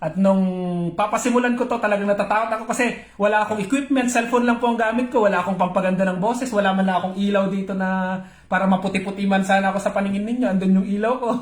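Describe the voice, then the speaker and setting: A man with a high pitch talks at a very fast pace, his intonation fairly even. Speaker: pastor. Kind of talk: live-streamed morning devotion. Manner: halting, with many fillers.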